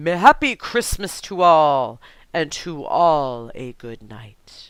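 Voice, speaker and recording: A woman uses a put-on character voice with a very deep, low pitch. She speaks at a very slow pace, with big swings in loudness. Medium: read story. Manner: lively, hearty, exclamatory.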